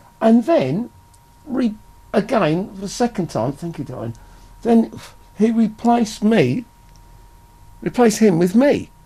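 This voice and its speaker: A man with an English accent talks at a fairly slow pace, his pitch high. Long, frequent pauses break up his speech. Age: 60s. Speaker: rock singer and bassist. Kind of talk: interview. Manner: halting.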